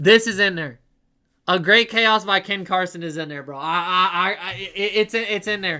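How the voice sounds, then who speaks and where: Raising and projecting his voice, a man with an American accent speaks at a moderate pace and a high pitch with ordinary pitch variation. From Ohio, Cleveland. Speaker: streamer. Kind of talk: casual live-stream chat, album ranking. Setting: live stream. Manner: animated.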